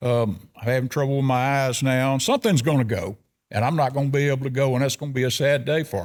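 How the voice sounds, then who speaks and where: A man with a Southern US accent talks at a very fast pace and medium pitch, with ordinary pitch variation. The recording is very clean, with a silent background. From US South (South Arkansas). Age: 70s. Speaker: elk hunter. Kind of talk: casual chat.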